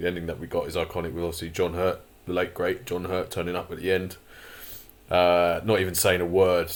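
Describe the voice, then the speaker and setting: With monotone, flat intonation, a man talks in a very deep, low pitch. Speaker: YouTube commentator. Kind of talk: casual commentary. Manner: hesitant, many fillers.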